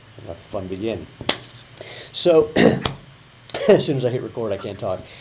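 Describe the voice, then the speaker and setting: Over noticeable background noise, a man at medium pitch talks at a moderate pace with lively intonation and big swings in loudness. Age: 50s. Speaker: sprinter. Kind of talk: interview host talk.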